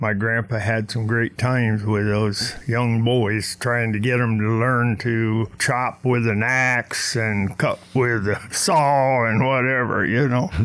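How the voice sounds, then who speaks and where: A man's medium-pitched voice, very slow in pace, with fairly even intonation. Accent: Pennsylvania. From northern Pennsylvania. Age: 80s+. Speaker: retired gas company technician. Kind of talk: radio interview.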